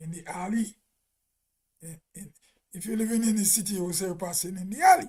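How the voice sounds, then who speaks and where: In a Grenadian accent, a man with a high voice talks very fast but leaves long, frequent pauses, his intonation fairly even while his loudness swings widely. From Grenada. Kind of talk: casual live stream talk.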